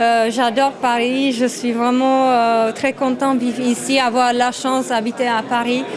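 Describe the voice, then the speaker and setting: Hardly pausing, a woman with a Czech accent speaks at a high pitch in a monotone, flat way with very even loudness, amid noticeable background noise and audible room echo. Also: fairly slow pace. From Czech Republic. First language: Czech (speaking French). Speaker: photographer, former model. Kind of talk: interview. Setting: photo exhibition event. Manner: halting, many hesitations.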